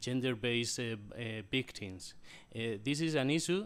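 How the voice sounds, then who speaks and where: Medium-pitched male speech, ordinary in its pitch variation, carrying audible echo from the room. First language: non-English. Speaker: computer science researcher. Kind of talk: panel discussion answer. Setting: conference hall. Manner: halting.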